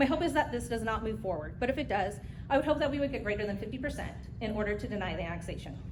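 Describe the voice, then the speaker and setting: A woman with an American accent talks very fast in a fairly high voice with lively intonation, with audible room echo and noticeable background noise. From Southern California, Hemet valley. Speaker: public commenter at city council. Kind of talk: public comment speech. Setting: city council meeting podium.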